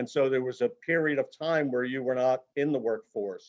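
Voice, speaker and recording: This man has a plain, everyday voice. It sits at a medium pitch and varies in an ordinary way. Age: 60s. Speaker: career transition consultant. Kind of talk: webinar presentation. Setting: video call.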